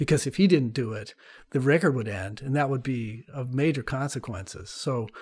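Heard on a very clean recording with a silent background, a man with an American accent speaks at a moderate pace in a somewhat breathy voice of medium pitch and ordinary pitch variation. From US West Coast (California). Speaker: climate scientist, professor. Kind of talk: interview, explanatory.

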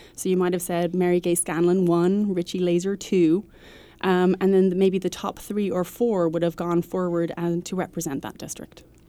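In a Dublin accent, a woman speaks at a moderate pace with a fairly low pitch, a dark, mellow tone and monotone, flat intonation. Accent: Irish (Dublin). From Ireland, Dublin. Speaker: nonprofit head, former diplomat. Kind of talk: interview. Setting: studio.

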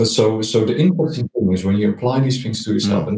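A man with a Dutch accent at a very fast pace, somewhat breathy, with a dark, mellow tone, fairly low pitch and ordinary pitch variation. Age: 50s. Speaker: marketing executive. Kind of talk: interview.

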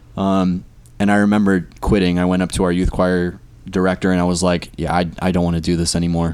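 The speaker has a Californian accent and talks at a very fast pace. The loudness stays very even, and the intonation is monotone and flat. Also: man, very deep, low pitch for a man. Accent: American (Californian). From US West Coast (California, earlier Maryland). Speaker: worship leader. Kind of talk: casual chat.

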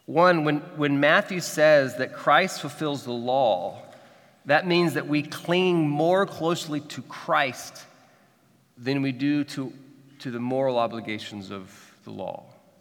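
Speaking at a very slow pace, a man with a fairly high pitch and a Midwestern American accent uses ordinary pitch variation. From Kansas City, Missouri. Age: 40s. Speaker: pastor. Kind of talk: sermon. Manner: halting, frequent repetitions.

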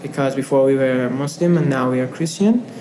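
A man talks in a space with audible echo, and noticeable noise sits in the background. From Afghanistan. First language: not English. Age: 20s. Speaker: refugee student and photographer. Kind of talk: interview. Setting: office. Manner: hesitant, with fillers.

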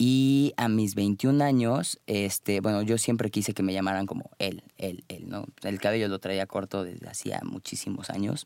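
A man with an ordinary speaking voice talks at a fairly slow pace and fairly low pitch, with ordinary pitch variation, in a dry, close sound with no echo. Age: 20s. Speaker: life coach. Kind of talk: interview.

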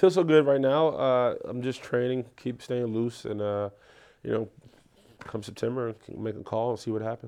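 Dark and mellow in tone, a man speaks with a New York accent. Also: medium pitch for a man, ordinary pitch variation, moderate pace. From New York, South Bronx. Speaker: professional football player. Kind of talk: casual chat. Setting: studio.

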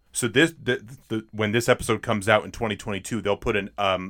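Fairly low in pitch, a man talks at a fairly quick pace in a plain, everyday voice. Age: 20s. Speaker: podcast host. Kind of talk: casual chat about films.

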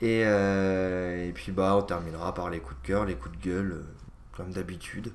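Audible room echo surrounds a man speaking at a fairly slow pace with a very deep, low pitch. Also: ordinary pitch variation. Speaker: video game podcast co-host. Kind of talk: casual chat.

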